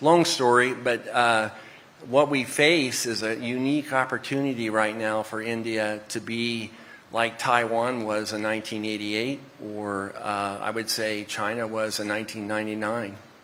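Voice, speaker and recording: A man speaks with an American accent and fairly even intonation. Noticeable background noise runs underneath. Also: medium pitch for a man, moderate pace. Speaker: semiconductor executive. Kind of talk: panel discussion.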